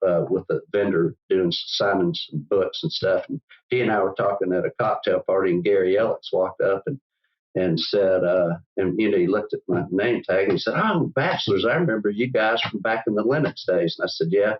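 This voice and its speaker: A man with a Southern US accent talks at a fairly quick pace. His loudness stays very even. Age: 70s. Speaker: business owner. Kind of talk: interview. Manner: halting, many repetitions.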